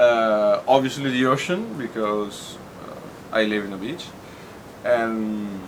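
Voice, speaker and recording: A man speaks at a very slow pace with ordinary pitch variation and big swings in loudness, over noticeable background noise. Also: medium pitch for a man. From Tuscany, Italy. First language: Italian. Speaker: bartender. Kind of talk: interview answer.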